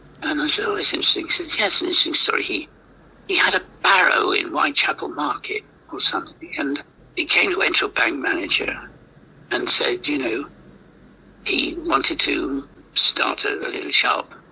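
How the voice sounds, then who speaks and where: Speaking at a moderate pace, a man leaves long, frequent pauses over noticeable background noise. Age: 80s+. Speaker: playwright. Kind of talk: interview. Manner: halting.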